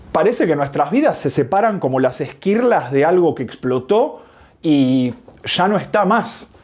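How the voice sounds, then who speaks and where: With a Rioplatense accent, a man speaks at a fairly slow pace. His pitch is fairly high and swings very widely. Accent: Rioplatense Spanish (porteño). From Argentina, Buenos Aires. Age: 30s. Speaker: video essayist. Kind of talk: scripted narration.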